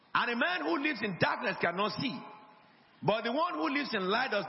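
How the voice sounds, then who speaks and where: Noticeable background noise sits under the speech. The delivery is very fast, with lively intonation. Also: man. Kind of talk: sermon. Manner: call-and-response, emphatic, urging the congregation to repeat and say amen; didactic, repetitive, pastoral teaching with rhetorical flourishes.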